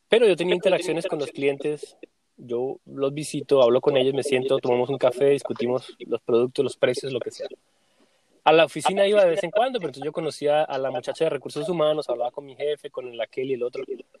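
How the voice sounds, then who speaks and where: A man with fairly high pitch and ordinary pitch variation talks at a very fast pace with big swings in loudness, in a dry, close sound with no echo. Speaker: podcast host. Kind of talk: casual chat.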